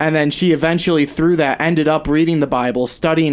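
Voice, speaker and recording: A man with an unremarkable speaking voice, fairly high in pitch, at a fairly quick pace on a very clean recording with a silent background. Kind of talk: casual chat. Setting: studio.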